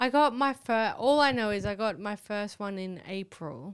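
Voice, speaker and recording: A woman speaks at a medium pitch with lively intonation. The recording is very clean, with a silent background. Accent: Australian. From Australia, Northern Rivers NSW. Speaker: comedian. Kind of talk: casual chat.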